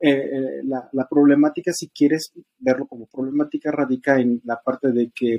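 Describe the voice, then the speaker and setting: This voice has a dark, mellow tone and a central Mexican accent, recorded with a dry, close sound and no echo. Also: man. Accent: Mexican Spanish (central Mexico). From Estado de México, Mexico. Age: 30s. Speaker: podcast guest sharing polyamory experience. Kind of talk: casual conversation, personal testimony. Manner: hesitant, many fillers and repetitions.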